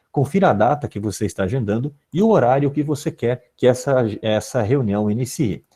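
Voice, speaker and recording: A man with a somewhat breathy, dark, mellow tone and medium pitch talks at a moderate pace with lively intonation and hardly any pauses, against a quiet background. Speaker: philosophy teacher giving teacher training. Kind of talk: online training tutorial. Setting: live video conference.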